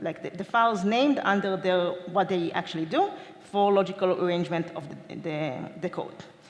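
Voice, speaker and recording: A woman at medium pitch with ordinary pitch variation, amid noticeable background noise and audible room echo. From Israel. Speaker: DevOps engineer, conference speaker. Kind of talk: conference talk. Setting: stage with audience. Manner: fast.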